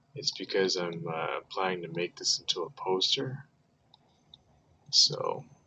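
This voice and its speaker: A man speaks quietly at a fairly slow pace, with long and frequent pauses. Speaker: artist livestreaming a drawing session. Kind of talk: casual livestream chat.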